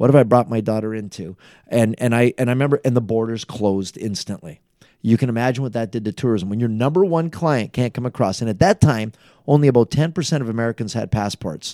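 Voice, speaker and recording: Very fast and at a medium pitch, a man with an Ontario accent talks with ordinary pitch variation in a very clean, dry, close recording with a silent background and no echo. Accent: Canadian (Ontario). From Niagara Falls, Ontario, Canada. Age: 50s. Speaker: mayor. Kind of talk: interview.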